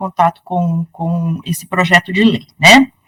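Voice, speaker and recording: A woman talks fairly slowly, and the sound is dry and close with no echo. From northern Paraná, Brazil. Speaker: law professor. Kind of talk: interview.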